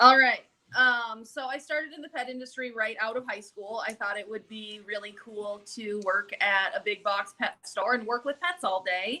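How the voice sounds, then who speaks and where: A woman with a Minnesotan accent speaks at a moderate pace with hardly any pauses, her fairly high pitch moving in ordinary ways while her loudness swings widely. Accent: Minnesota. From Minnesota, US Midwest. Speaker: pet food company sales representative. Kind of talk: live video interview.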